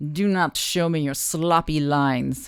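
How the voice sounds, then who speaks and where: A put-on character voice with a Russian accent speaks at a middle pitch and a fairly slow pace. The recording is very clean, with a silent background. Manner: stern, imperious.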